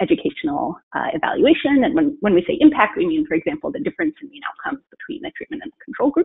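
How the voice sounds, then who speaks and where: The speaker is a woman. Very wide swings mark her pitch. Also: quiet background. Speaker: statistician presenting research. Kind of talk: webinar presentation. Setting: video call. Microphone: webcam.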